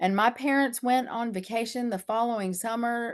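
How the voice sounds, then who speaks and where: Against a quiet background, a woman with an American accent uses an unremarkable speaking voice, fairly high in pitch, with lively intonation at a moderate pace. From US, northern Michigan then western North Carolina. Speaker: dream doula. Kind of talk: interview.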